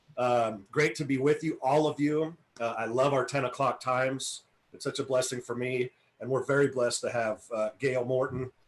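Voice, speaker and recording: A man's medium-pitched, flat, monotone voice at a moderate pace. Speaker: minister hosting a live interview. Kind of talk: casual live video interview. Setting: video call away from home. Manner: projecting voice loudly.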